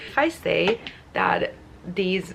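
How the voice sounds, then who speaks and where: A woman speaks at a medium pitch with a non-native accent. Background noise is noticeable. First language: not English. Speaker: lifestyle vlogger. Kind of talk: casual vlog talk to camera. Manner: many filler words.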